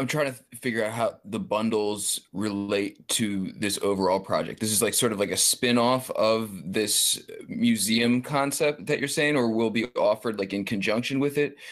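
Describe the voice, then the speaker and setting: In a very clean recording with a silent background, a man uses a normal speaking voice with ordinary pitch variation and hardly any pauses. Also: medium pitch for a man, moderate pace. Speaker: podcast co-host. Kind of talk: casual chat. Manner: laid-back, casual.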